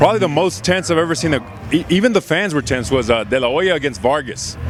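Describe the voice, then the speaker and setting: A man at a very fast pace, fairly high pitch and lively intonation, with noticeable background noise. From Mexican-American. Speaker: ring announcer; former radio disc jockey. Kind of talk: casual interview answer.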